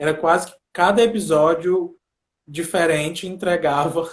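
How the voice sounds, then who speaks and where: Pitched high, a man speaks at a moderate pace with fairly even intonation. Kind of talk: casual chat.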